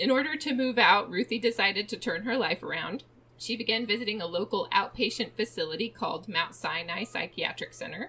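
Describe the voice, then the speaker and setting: This woman has a plain, everyday voice, fairly high in pitch, with lively intonation. She talks at a fairly quick pace with hardly any pauses. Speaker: true crime podcast host. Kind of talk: casual chat, storytelling of a true crime case.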